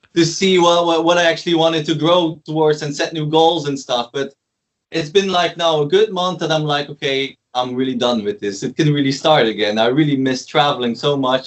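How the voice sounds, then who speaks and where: With a Flemish Belgian accent, a man talks at a moderate pace and a fairly high pitch, with ordinary pitch variation and hardly any pauses. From Belgium, West Flanders. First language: Dutch (West Flemish dialect). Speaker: DJ and producer. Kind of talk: casual interview chat.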